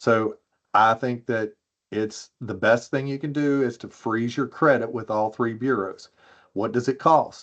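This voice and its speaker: Fairly slow and fairly even in intonation, a man with an ordinary speaking voice, medium pitch and an American accent talks over a quiet background. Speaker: privacy expert panelist. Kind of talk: webinar presentation.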